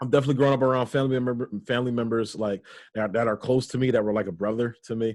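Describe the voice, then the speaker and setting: Against a quiet background, a man talks very fast in an animated tone at a medium pitch. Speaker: podcast host. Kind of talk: casual chat. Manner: stutter.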